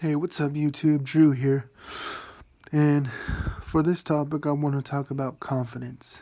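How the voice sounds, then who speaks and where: Quiet and fairly slow, a man speaks in a fairly high, monotone, flat voice broken by long, frequent pauses. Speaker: vlogger. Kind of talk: casual monologue. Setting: at home at night.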